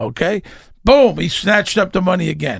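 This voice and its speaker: A man with a Brooklyn accent, lively intonation and a fairly slow pace on a very clean recording with a silent background. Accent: New York (Brooklyn). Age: 60s. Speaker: actor. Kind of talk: casual chat. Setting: studio.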